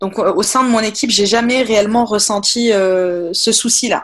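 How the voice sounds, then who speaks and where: A woman speaks at a fairly slow pace with a fairly high pitch. The recording is very clean, with a silent background. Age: 20s. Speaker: office worker. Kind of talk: testimony. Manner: halting.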